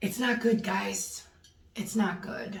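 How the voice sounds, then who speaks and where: Fairly even intonation marks this woman's speech, heard with audible room echo and noticeable background noise. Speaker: vlogger sharing recovery experience. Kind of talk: personal video diary. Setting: in her bathroom at home. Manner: hesitant, many fillers.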